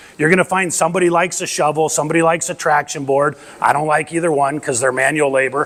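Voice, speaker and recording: A man with fairly high pitch and fairly even intonation talks while noticeable background noise plays behind him. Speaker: off-road recovery volunteer and presenter. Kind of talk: lecture. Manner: loud.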